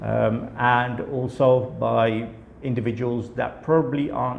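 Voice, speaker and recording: A man with a British accent at a fairly slow pace, amid noticeable background noise and audible room echo. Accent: British accent, audible in his speech. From UK. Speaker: company director, study visa consultant. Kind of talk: company introduction video. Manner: many filler words, hesitant.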